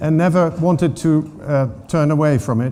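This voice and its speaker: A man with a Dutch accent at a fairly high pitch and moderate pace, with audible room echo. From Netherlands. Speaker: water governance expert. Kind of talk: conference talk. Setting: stage with audience. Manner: hesitant, many fillers.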